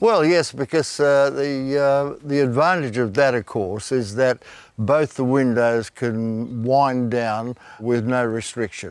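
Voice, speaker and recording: An Australian accent at a fairly slow pace, with ordinary pitch variation. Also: man. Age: 80s+. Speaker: classic car owner. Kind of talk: casual interview. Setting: garage. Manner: halting.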